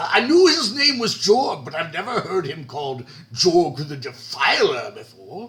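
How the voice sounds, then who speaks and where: High-pitched put-on character voice from a man. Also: moderate pace. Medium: actual play. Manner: condescending, dry.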